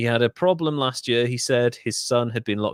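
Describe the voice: Someone does plain reading aloud. Ordinary variation shows in the pitch.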